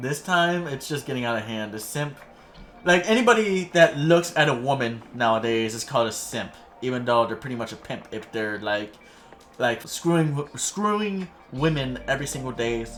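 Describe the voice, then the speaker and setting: A man talks with lively intonation and big jumps in volume. Music plays behind him. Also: medium pitch for a man, moderate pace. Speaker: youtube commentator. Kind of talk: casual commentary monologue. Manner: stuttering, halting.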